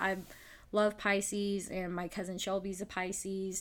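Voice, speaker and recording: A woman at medium pitch speaks in a Southern US accent. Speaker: podcast host. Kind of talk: casual chat.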